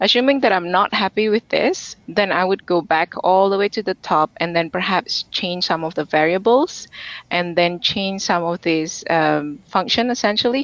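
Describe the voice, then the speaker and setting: With hardly any pauses, a woman talks at a moderate pace in an unremarkable speaking voice, her pitch medium and ordinarily varied. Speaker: conference speaker presenting data science. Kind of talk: technical webinar presentation with demo. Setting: online webinar.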